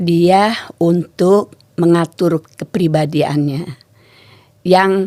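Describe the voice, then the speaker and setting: Speaking very slowly, a woman keeps ordinary pitch variation. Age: 70s. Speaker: temple caretaker. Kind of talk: interview.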